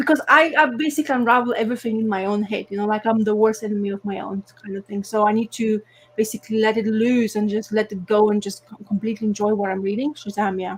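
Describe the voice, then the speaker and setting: Speaking at a very fast pace with hardly any pauses, a woman with a non-native accent keeps a fairly high pitch and fairly even intonation. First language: not English. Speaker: comics podcast co-host. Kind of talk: casual chat. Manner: halting.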